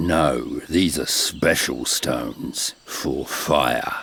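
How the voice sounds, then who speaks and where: A man's growling, put-on character voice at a very slow pace. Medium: video game. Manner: terse.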